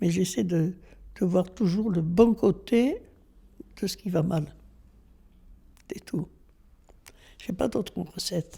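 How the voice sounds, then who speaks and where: A woman talks at a very slow pace with long, frequent pauses, her medium pitch showing ordinary variation. Her tone is dark and mellow, and somewhat breathy. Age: 80s+. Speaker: elderly local resident. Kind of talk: interview reminiscence.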